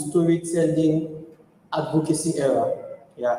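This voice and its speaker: Audible room echo follows a man whose voice sits high in pitch. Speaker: tech community speaker. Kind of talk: conference talk. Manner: fast.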